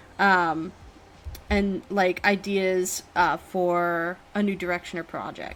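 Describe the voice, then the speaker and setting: This is a woman speaking with an American accent. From United States. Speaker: tarot reader and streamer. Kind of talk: live-streamed tarot reading. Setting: live stream with chat. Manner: casual with many fillers.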